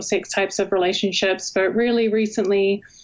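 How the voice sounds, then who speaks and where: Moving at a moderate pace, a woman with a New Zealand accent speaks in a monotone, flat intonation. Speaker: university professor, communication researcher. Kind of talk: interview.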